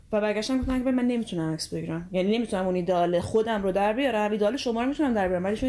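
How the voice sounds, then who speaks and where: A woman speaks at a medium pitch. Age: 20s. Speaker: photographer and chemistry student. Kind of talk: interview conversation.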